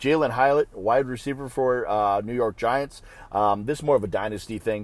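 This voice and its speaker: In a plain, everyday voice, a man talks at a medium pitch. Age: 40s. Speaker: fantasy football podcast host. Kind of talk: casual solo commentary. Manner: casual, with fillers and profanity.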